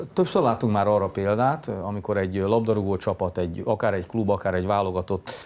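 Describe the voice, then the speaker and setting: The man has a plain, everyday voice. It is fairly low in pitch, with fairly even intonation. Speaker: morning TV sports show host. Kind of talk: studio interview. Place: studio.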